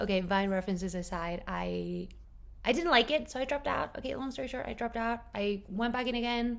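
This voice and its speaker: Fairly quick and fairly high-pitched, a woman speaks with lively intonation. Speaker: book vlogger. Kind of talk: casual vlog chat. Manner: animated.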